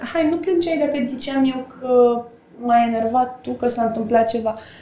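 Through noticeable background noise and audible room echo, a woman talks at a fairly slow pace in a high pitch with fairly even intonation. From Romania, Slobozia. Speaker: actress. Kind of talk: casual chat.

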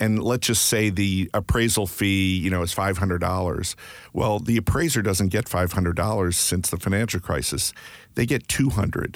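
A man with an American accent has an unremarkable speaking voice, fairly low in pitch, with ordinary pitch variation. He keeps a moderate pace and very even loudness on a very clean recording with a silent background. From Maryland, US. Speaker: real estate appraiser and market analyst. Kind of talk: interview.

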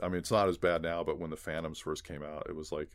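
A man speaks at a very fast pace with a Californian accent. His voice is very deep and low. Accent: Californian American. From Los Angeles, San Gabriel Valley. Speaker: visual effects supervisor. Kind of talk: casual chat.

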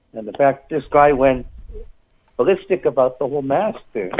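His voice sits fairly high for a man. The man's intonation rises and falls in a lively way. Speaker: caller. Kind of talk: casual phone conversation. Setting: phone call.

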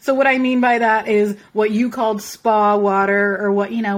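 In an American accent, a normal speaking voice moves at a fairly quick pace with fairly even intonation. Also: woman. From Philadelphia, US. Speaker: podcast co-host. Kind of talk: casual chat.

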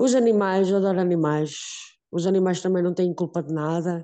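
Her tone is dark and mellow, at medium pitch and a fairly slow pace. The woman's intonation is fairly even over a quiet background. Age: 40s. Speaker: woman living with HIV, association member. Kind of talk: personal testimony.

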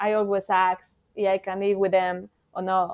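Against a quiet background, a woman speaks with a Mexican accent. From Mexico City. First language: Spanish. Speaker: thru-hiker. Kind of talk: casual interview. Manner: animated, halting with grammar errors.

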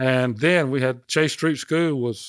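In a very clean recording with a silent background and a dry, close sound with no echo, a man of medium pitch speaks with a Southern US accent and fairly even intonation. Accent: Southern US (Georgia). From Athens, Georgia, US South. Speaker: musician. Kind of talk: interview.

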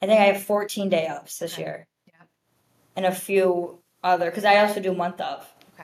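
The delivery is fairly quick, with monotone, flat intonation. Loudness swings widely. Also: woman, medium pitch for a woman. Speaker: wedding planner. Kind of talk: casual chat.

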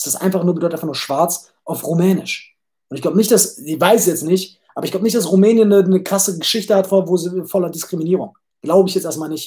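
A man talks at a very fast pace in a high voice with a dark, mellow tone. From Germany, Düsseldorf. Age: 20s. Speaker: podcast host. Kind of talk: casual livestream monologue. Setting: livestream. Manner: animated; repeats words, stumbling.

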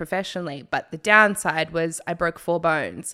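The voice has an animated, enthusiastic tone that is bright and sharp, captured in a very clean recording with a silent background. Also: woman. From New Zealand. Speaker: novelist and film director. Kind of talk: casual chat.

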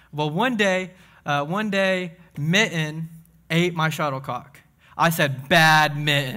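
In a Southern US accent, a man talks at a fairly slow pace with an animated, bright, sharp tone, a fairly high pitch and ordinary pitch variation. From Tennessee (Crossville). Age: 20s. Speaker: young adults pastor. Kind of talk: sermon. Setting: church.

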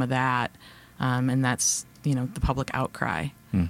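Music plays behind a woman with an American accent. She speaks at a fairly slow pace in a very deep, low voice. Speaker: podcast host. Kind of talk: casual conversation interview. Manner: self-described ums and ahs.

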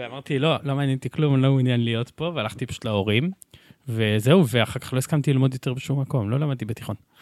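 Very fast speech comes from a man with a medium pitch and ordinary pitch variation. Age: 20s. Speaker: city council member. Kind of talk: casual chat.

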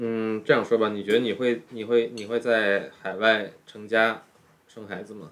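At a fairly slow pace, a man speaks at medium pitch in a monotone, flat intonation with big swings in loudness. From China, raised in expat international school circles. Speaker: guest, Dutch-born Chinese. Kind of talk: casual chat. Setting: home kitchen, making dumplings.

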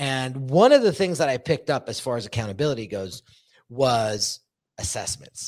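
The delivery is energetic, with lively intonation at a moderate pace. The recording is very clean, with a silent background and a dry, close sound with no echo. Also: man. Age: 40s. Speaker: podcast host and brand coach. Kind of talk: casual interview chat. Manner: energetic, laughs often.

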